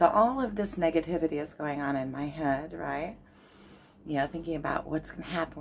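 Over light background noise, a woman with a very deep, low pitch speaks at a fairly quick pace with ordinary pitch variation. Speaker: travel vlogger. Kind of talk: casual vlog chat. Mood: reflective, gently animated. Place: garden. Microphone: phone near.

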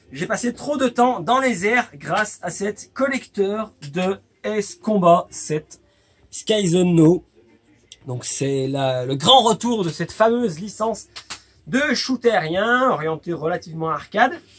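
Very slowly and with very wide pitch swings, a man with a high voice speaks over background music. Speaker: video game shop presenter. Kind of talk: casual talk to camera.

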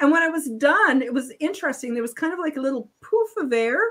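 Against a quiet background, the speaker talks at a fairly quick pace with very wide pitch swings. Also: woman. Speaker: experiencer and podcast host; podcast host. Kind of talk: interview storytelling. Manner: loud. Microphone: video call.

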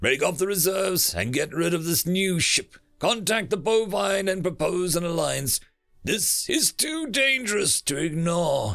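A man puts on a character voice, high-pitched and fairly bright, with vocal fry and lively intonation. He goes at a fairly slow pace while faint music plays behind him.

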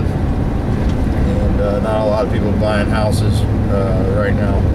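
Loud background noise surrounds the recording. Through it, a man talks. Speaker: vlogger. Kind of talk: casual vlog chat. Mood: weary, reflective. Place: car. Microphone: camera far.

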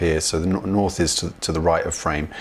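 The man's pitch is very deep and low. Intonation holds fairly even. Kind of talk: tutorial. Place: home room. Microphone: webcam.

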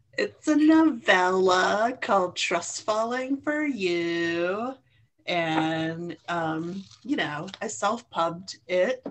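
A woman talks at a very slow pace. Her pitch swings very widely. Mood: cheerful, laughing. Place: home room. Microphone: video call.

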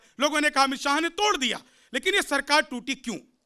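A man's raised, projected voice, bright and sharp in tone, at a moderate pace with ordinary pitch variation over a quiet background. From Bihar. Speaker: poet; comic poet. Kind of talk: stand-up. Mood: jovial, smiling, joking. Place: studio. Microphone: studio mic.

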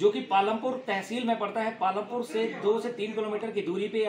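In a room with audible echo and light background noise, a man speaks in a high, monotone, flat voice. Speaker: travel vlogger. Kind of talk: casual vlog commentary. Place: kitchen.

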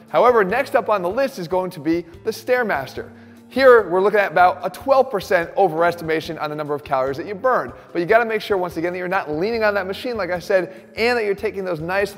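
Faint music sounds in the background. Over it, a man speaks very fast. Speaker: fitness coach. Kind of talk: tutorial. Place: gym. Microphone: lapel.

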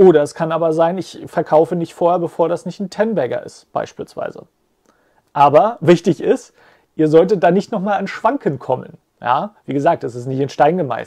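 A man with a high pitch and a dark, mellow tone speaks at a moderate pace with ordinary pitch variation and big swings in loudness. The background is quiet. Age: 30s. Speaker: finance YouTuber; finance youtuber. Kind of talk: casual explainer monologue. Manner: hesitant, many filler sounds. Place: home room.

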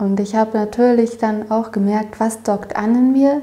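A very slow, monotone and flat delivery from a woman pitched fairly high. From Erzgebirge, Saxony, Germany. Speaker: apprentice gardener. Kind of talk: casual interview. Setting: tea kitchen of a dairy, interview.

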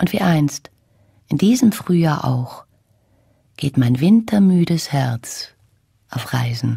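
Over a quiet background, a woman with a very deep, low pitch and a dark, mellow, somewhat breathy tone speaks at a very slow pace, her pitch swinging very widely between long, frequent pauses. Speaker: actress, voice actress. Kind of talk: poetry reading. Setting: radio broadcast recording. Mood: warm, gentle, smiling. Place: booth. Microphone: studio mic.

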